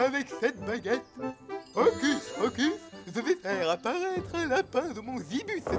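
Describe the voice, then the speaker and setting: Putting on a character voice, a man speaks at an extremely high pitch and a moderate pace. Clear music plays in the background. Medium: fan dub.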